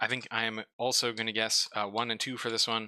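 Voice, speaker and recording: Mumbling at a moderate pace, a man with a medium pitch and a bright, sharp tone sounds dry and close, with no echo. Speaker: streamer reviewing game store pages. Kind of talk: casual live stream commentary.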